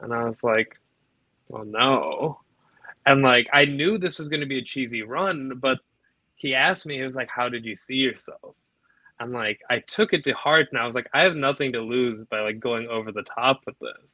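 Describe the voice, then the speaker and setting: A man's normal speaking voice at medium pitch and a moderate pace, with ordinary pitch variation. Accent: American. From Naperville, Illinois, US Midwest. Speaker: professional wrestler. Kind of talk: casual interview chat.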